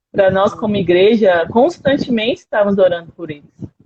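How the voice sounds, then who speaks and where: A woman's voice comes across as somewhat breathy. Her intonation is lively. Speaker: missionary speaker. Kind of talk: missionary talk in a live stream. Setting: live stream video call.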